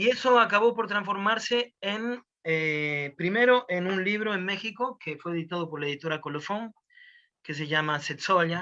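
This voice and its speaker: Raised and projected, a man's high-pitched voice has a bright, sharp tone. His pace is moderate, the pitch varies in an ordinary way, and the background is quiet. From Argentina. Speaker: storyteller. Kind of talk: interview answer.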